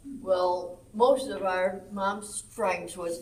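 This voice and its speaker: Audible room echo surrounds a speaker with a Southern US accent. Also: woman. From Arkansas, US South. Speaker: senior center quilting group lead. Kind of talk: casual chat. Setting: senior center. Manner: loud.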